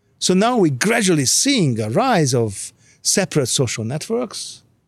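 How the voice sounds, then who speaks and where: A man with a non-native accent and high pitch, very wide pitch swings and a fairly slow pace, on a very clean recording with a silent background. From Hungary. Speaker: behavioral scientist. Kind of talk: casual chat.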